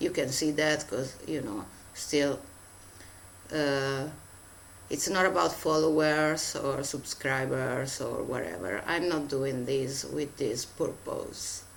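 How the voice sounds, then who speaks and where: The speech comes at a very slow pace. The speaker has a non-native accent. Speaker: tarot reader. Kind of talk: spiritual message. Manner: halting, many fillers.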